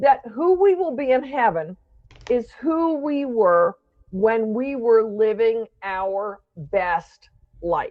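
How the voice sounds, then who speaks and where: Her pitch fairly high and swinging very widely, a woman speaks at a very slow pace. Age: 60s. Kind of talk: interview conversation.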